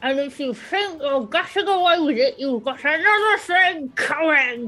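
A put-on character voice shouts at a moderate pace, its pitch swinging very widely. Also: woman, high pitch for a woman. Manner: screaming.

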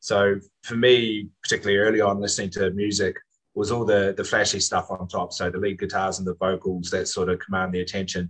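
At a fairly quick pace, a man speaks in a fairly low voice with monotone, flat intonation. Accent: New Zealand. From New Zealand. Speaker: wine guide and music enthusiast. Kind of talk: casual chat.

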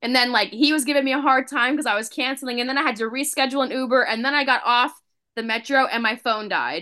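Speaking at a very fast pace, a woman projects a raised, high-pitched voice with a bright, sharp tone and fairly even intonation. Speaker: children's book author. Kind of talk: casual chat.

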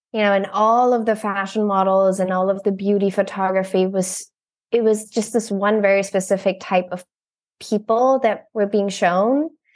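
A woman with an American accent speaks at a moderate pace and a medium pitch, her intonation fairly even against a quiet background. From Germany (Berlin), raised partly in Brussels. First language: German. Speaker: photographer. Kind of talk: casual interview chat. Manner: frequent laughter and filler 'um'.

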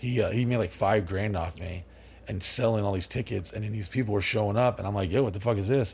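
A man's fairly low, somewhat breathy voice with an American accent at a very fast pace. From Dallas, Texas area. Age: 40s. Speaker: party house owner. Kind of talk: casual interview chat. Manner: rambling, animated.

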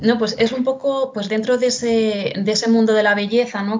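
A fairly high-pitched woman speaks at a moderate pace in a flat monotone, with noticeable background noise behind her. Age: 20s. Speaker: social educator and professional makeup artist. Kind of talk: casual interview.

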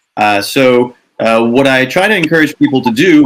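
This is a man with a medium pitch. He has a normal speaking voice. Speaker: author and doctor. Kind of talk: panel discussion.

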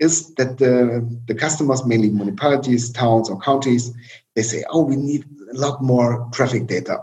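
Somewhat breathy, a man with a medium pitch and ordinary pitch variation talks at a moderate pace. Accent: German. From East Germany. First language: German. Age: 40s. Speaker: tech company chief executive. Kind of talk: interview. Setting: video call. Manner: halting.

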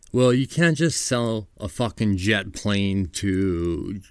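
Recorded very cleanly against a silent background, a man with an American accent speaks with lively intonation. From New York. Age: 40s. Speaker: podcast host. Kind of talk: casual chat. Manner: animated.

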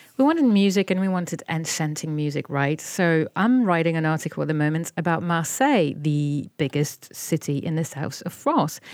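A woman's fairly low voice in a French accent at a moderate pace. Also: ordinary pitch variation, hardly any pauses. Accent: French accent showing. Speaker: podcast co-host and journalist. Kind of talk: casual chat.

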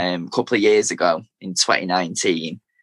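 A man is speaking. He has a Manchester accent. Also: dry, close sound with no echo. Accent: Mancunian, Manchester. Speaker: teacher and spoken word poet. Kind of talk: interview, poetry reading.

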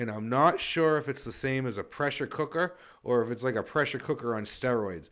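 In an ordinary speaking voice, a man talks at a medium pitch and a fairly quick pace, with ordinary pitch variation and a quiet background. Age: 40s. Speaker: podcast co-host. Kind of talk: casual chat.

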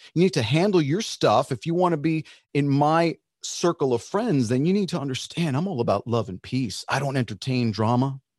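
Speaking in a normal speaking voice with an American accent, a man keeps a fairly quick pace and a fairly high pitch with lively intonation. The sound is dry and close with no echo, against a quiet background. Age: 50s. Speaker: singer. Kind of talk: podcast interview. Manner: casual, conversational.

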